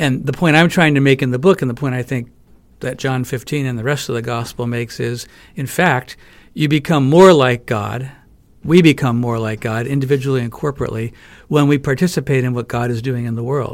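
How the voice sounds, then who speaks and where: A man's unremarkable speaking voice, medium in pitch, with ordinary pitch variation. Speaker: professor and author. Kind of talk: interview. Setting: studio.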